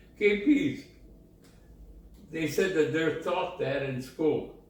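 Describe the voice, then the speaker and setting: A man's very slow speech with very wide pitch swings and long, frequent pauses, over noticeable background noise. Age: 80s+. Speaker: war veteran. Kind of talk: interview answer.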